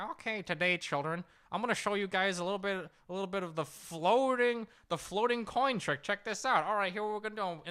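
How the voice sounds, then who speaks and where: This put-on character voice is nasal and sits at a middle pitch. It moves at a fairly quick pace on a very clean recording with a silent background. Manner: friendly, showman-like.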